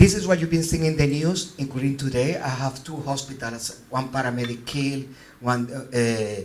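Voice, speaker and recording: A man's medium-pitched voice is heard with audible room echo. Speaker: physician and humanitarian coordinator. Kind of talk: presentation talk with slides. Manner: halting.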